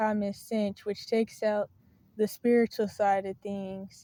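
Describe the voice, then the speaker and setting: Monotone, flat intonation from a woman with a Southern US accent, fairly high in pitch, at a fairly slow pace. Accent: Southern country. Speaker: video blogger on faith and mental health. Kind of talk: casual monologue to camera. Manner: hesitant, with fillers and self-corrections.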